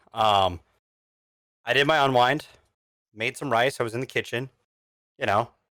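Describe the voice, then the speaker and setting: In a very clean recording with a silent background, a man speaks at a medium pitch and moderate pace with a bright, sharp tone, ordinary pitch variation, and long, frequent pauses. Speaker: podcast co-host. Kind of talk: casual chat. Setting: live stream.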